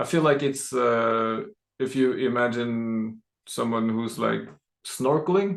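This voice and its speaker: Speaking very slowly, a man uses a mid-range pitch for his voice and a normal amount of pitch movement. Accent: Norwegian. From Norway. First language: Norwegian. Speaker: podcast host. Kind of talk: casual chat.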